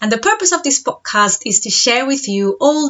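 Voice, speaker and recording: With a Spanish accent, the speaker talks at a moderate pace. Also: woman. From Spain. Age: 30s. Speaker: podcast host and mindset coach. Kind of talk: podcast monologue.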